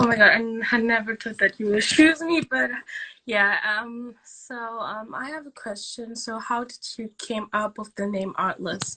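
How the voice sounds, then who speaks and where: A woman with a German accent speaks fairly slowly at a fairly high pitch, her bright, sharp tone showing ordinary pitch variation and big swings in loudness. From Germany. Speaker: fan. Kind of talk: casual livestream chat.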